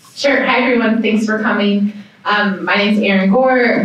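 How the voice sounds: Strong room echo surrounds a woman speaking at a medium pitch and moderate pace. Her tone is fairly bright and her intonation fairly even.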